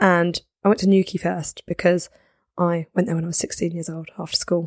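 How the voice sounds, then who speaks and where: A woman with a southern English accent, fairly low in pitch, at a moderate pace, in a dry, close sound with no echo. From southern England, Guildford. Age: 20s. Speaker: snowboard wear business owner. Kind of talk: casual chat. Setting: studio.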